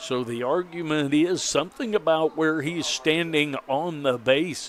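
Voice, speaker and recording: A normal speaking voice from a man, fairly high in pitch, with fairly even intonation. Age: 60s. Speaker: baseball play-by-play broadcaster. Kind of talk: live commentary.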